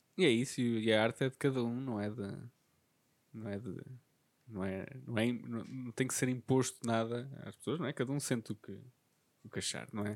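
In a very clean recording with a silent background, a man with a medium pitch and fairly even intonation speaks at a moderate pace with long, frequent pauses. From Portugal, Covilhã area (Beira Interior). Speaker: podcast host. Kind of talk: casual chat.

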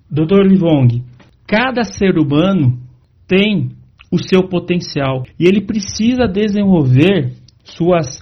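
At a very slow pace, a man with a São Paulo accent speaks in a high voice with lively intonation. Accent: Brazilian Portuguese (São Paulo). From Brazil, São Paulo. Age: 40s. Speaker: leadership coach and motivational speaker. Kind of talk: interview.

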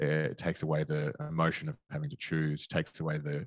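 A man with an Australian accent at a moderate pace, the sound dry and close with no echo. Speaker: investing podcaster. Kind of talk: casual chat. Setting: video call.

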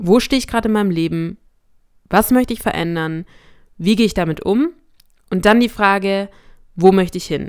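Fairly quick speech from a woman at medium pitch, with ordinary pitch variation, in a very clean recording with a silent background. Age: 20s. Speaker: faith podcast host and student. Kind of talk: casual solo talk. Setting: alone in a room at home.

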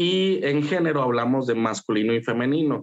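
Speaking at a moderate pace at medium pitch with ordinary pitch variation, a man has a plain, everyday voice. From Mexico, Saltillo (Coahuila). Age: 30s. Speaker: psychologist. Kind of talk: casual interview.

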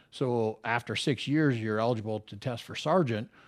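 On a very clean recording with a silent background, a man with an American accent and an ordinary speaking voice talks at a fairly quick pace and medium pitch with ordinary pitch variation. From Minnesota. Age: 50s. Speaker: retired police officer. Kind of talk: casual interview chat.

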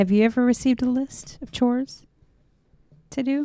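The tone is dark and mellow, with fairly even intonation. The sound is dry and close with no echo, on a very clean recording with a silent background. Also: woman. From US South. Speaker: podcast co-host. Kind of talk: casual chat. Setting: live stream.

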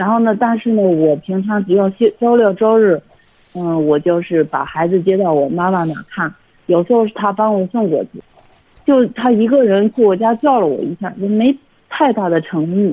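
Lively intonation from a woman at a medium pitch and a moderate pace. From Hebei, China. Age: 30s. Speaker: caller. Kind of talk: phone-in advice call. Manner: halting, many fillers.

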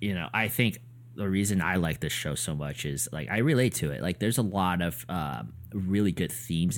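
The speaker talks at a moderate pace with vocal fry and lively intonation. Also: man. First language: neither English nor Korean. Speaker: podcast co-host. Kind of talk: casual chat.

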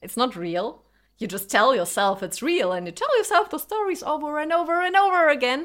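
Against a very clean recording with a silent background, a woman talks at a fairly quick pace in a high pitch with very wide pitch swings. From Germany. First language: Lithuanian and Russian. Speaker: podcaster. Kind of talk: personal monologue.

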